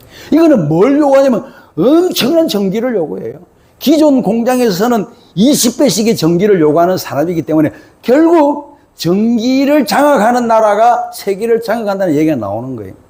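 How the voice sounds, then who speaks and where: Talking at a moderate pace in a Gyeongsang accent, a man uses an extremely high pitch with very wide pitch swings. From South Korea, Gyeongsang province. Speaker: author and lecturer. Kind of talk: lecture. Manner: animated.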